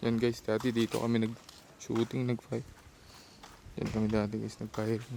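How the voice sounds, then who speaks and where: A man at medium pitch and a moderate pace, his intonation monotone and flat. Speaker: vlogger. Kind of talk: casual vlog.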